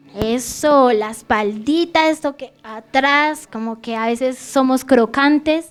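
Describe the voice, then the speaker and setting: Over noticeable background noise, a woman with a high pitch speaks at a very slow pace, with ordinary pitch variation and big swings in loudness. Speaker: preacher. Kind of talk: sermon.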